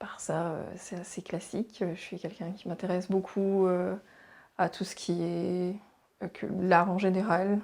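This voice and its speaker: A woman at a fairly slow pace, with monotone, flat intonation and big swings in loudness. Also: medium pitch for a woman. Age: 30s. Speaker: teacher. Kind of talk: interview testimony. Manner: hesitant.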